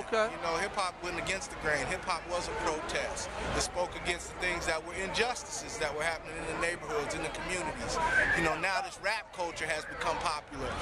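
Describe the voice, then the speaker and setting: A man at a very fast pace with ordinary pitch variation, dry sound with no echo, and loud background noise. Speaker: interviewee. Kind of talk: interview answer. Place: street. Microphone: phone near.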